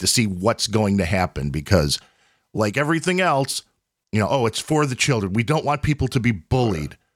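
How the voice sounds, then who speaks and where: Recorded dry and close with no echo against a silent background, this very clean clip has a man whose pitch swings very widely. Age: 40s. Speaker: podcast host. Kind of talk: casual chat.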